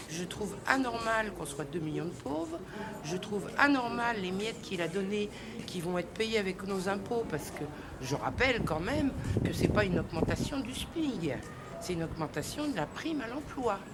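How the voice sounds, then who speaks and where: A woman speaks at a medium pitch and a moderate pace, her pitch swinging very widely. Room echo is audible, and background noise is noticeable. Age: 60s. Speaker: protester. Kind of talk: street interview. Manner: animated.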